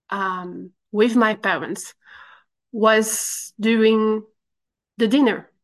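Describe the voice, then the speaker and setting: Against a quiet background, a woman speaks with a fairly high pitch. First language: French. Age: 30s. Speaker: recovery program member. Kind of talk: testimony. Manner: halting.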